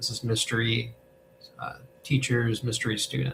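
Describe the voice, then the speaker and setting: Quiet and calm in tone, a man speaks at medium pitch with a bright, sharp tone and vocal fry. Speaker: hospice volunteer answering spiritual questions. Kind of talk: casual livestream chat. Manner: calm, trying to keep voice quiet; talkative, rambling with fillers.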